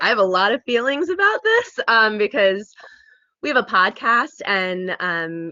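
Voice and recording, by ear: At a fairly slow pace, a woman speaks at a medium pitch with big pitch swings and a bright, sharp tone, the sound dry and close with no echo.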